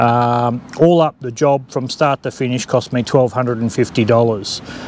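Over noticeable background noise, the speaker talks at a fairly slow pace in a monotone, flat intonation, the sound dry with no echo. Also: man. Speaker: vehicle owner reviewing an upgrade. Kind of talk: casual vlog chat. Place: open country. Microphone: lapel.

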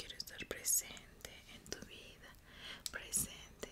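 Whispering at a very slow pace, a woman speaks with a gentle tone. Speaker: ASMR creator. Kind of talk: ASMR guided relaxation for sleep. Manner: whispered, soft, gentle, slow. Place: home room. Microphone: studio mic.

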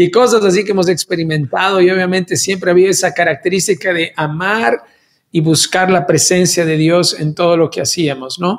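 A man at a high pitch for a man, moderate pace, quiet background. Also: ordinary pitch variation. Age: 50s. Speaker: worship leader; pastor, podcast host. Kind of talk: casual chat. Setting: video call. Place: studio.

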